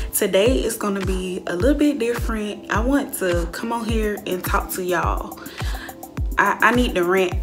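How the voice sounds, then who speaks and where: A woman with an American accent at a moderate pace, over clear music in the background. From Georgia, USA. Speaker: YouTuber. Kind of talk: casual storytime talk to camera. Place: home room. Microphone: phone near.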